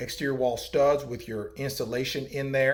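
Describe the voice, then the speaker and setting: A somewhat breathy man's voice at a medium pitch. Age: 40s. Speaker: cabin salesman. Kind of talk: sales pitch. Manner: casual, many filler ums.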